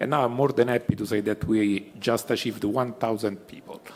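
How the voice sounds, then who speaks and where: In an Italian accent, a man with a medium-pitched voice speaks at a fairly quick pace. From Italy. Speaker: pharma company executive. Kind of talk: panel discussion. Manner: halting, many fillers.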